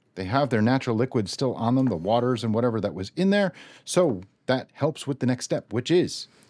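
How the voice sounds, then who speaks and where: A man's dark, mellow tone at a fairly quick pace over a quiet background. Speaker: home cook host. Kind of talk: cooking tutorial. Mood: relaxed, friendly. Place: kitchen.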